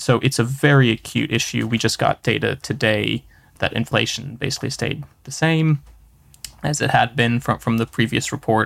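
With vocal fry and fairly even intonation, a man speaks at a medium pitch and a moderate pace in dry, close sound with no echo. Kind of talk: podcast interview hosting. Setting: studio.

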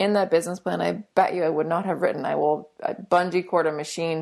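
Someone talks at a very fast pace with fairly even intonation against a quiet background. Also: woman. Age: 30s. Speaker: ice cream company founder. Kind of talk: interview.

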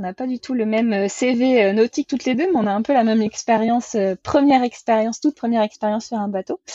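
At a moderate pace, a woman with a fairly high pitch speaks in a plain, everyday voice. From western France, Vendée. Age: 20s. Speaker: sailor running a library sailboat project. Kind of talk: casual interview.

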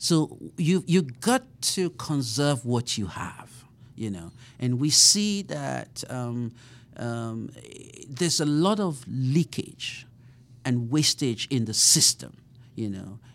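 The delivery is very slow, with lively intonation. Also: man, medium pitch for a man. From Nigeria. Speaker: professor. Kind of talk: interview. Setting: studio. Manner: halting.

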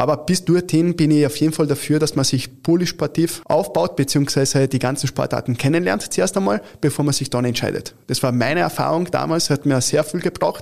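A man talks with an Italian accent at a moderate pace. His pitch varies in an ordinary way. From Italy, Turin; since age 12 in Carinthia, Austria. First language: Italian (speaking German). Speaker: futsal club founder and official. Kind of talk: interview. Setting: studio.

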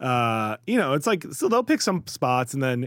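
Speaking with an American accent, a man talks at a fairly quick pace in an ordinary speaking voice. His pitch is medium, and the recording is very clean with a silent background. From Chicago area and New York. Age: 40s. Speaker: writer. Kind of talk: casual chat. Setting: studio.

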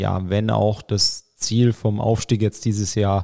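A man's fairly low voice has a dark, mellow tone and fairly even intonation. The sound is dry and close, with no echo. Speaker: triathlon team manager. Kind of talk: casual chat. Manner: talkative.

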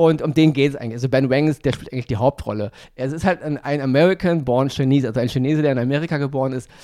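Very fast and with fairly even intonation, a man speaks at a fairly high pitch in a dark, mellow tone. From Germany, Berlin (Wedding). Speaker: podcast co-host, film reviewer. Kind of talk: casual chat.

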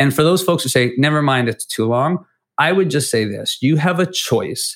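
A man in a normal speaking voice at a moderate pace, on a very clean recording with a silent background. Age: 40s. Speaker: education nonprofit leader, former teacher. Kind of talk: interview.

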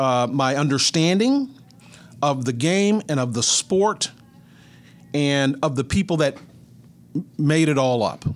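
A man with a Texan accent at a fairly high pitch, fairly slow pace and very even loudness, with ordinary pitch variation and long, frequent pauses. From north central Texas (Mineral Wells). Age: 60s. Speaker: retired sports broadcaster. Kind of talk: interview.

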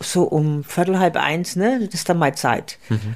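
Lively intonation marks the dark, mellow tone of this woman's voice. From Franconia, Germany. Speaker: podcast co-host, retiree. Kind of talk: casual chat. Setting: home, farmhouse-style room.

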